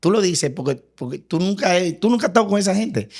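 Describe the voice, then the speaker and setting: A man is heard in a very clean recording, with a silent background. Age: 50s. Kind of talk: testimony in podcast interview.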